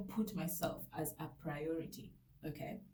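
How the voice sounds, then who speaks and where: A woman speaks in a dark, mellow tone. Her voice is somewhat breathy, with ordinary pitch variation. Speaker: vlogger. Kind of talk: personal testimony. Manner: soft-spoken; halting.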